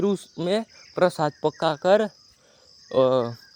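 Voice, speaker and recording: Recorded dry and close with no echo, a man speaks at a high pitch. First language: Marathi (speaking Hindi). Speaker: vlogger. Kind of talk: walking tour vlog narration. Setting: outdoors. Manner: halting.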